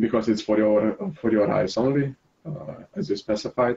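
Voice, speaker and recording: A man with a non-native accent and medium pitch speaks at a fairly slow pace, his somewhat breathy voice dark and mellow, with ordinary pitch variation. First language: not English. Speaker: game master. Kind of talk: casual chat. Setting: voice chat. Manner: halting.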